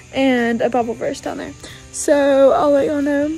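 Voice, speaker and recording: A woman with a high pitch and ordinary pitch variation speaks at a moderate pace over faint music in the background. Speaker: high school senior vlogger. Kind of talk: casual vlog chat. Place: garage. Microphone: phone near.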